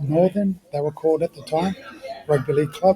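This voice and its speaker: Someone with a New Zealand accent speaks over noticeable background noise. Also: man. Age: 40s. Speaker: ex-professional rugby league player. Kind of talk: podcast interview. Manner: animated.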